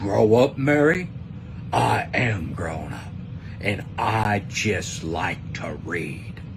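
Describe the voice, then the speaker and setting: A man puts on a character voice, fairly low in pitch, speaking at a very slow pace with big swings in loudness over loud background noise. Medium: read story.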